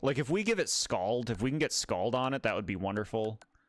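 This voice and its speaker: This man talks very fast and loud at a medium pitch. His pitch swings very widely. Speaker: gaming streamer. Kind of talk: casual livestream commentary. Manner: casual, chatty.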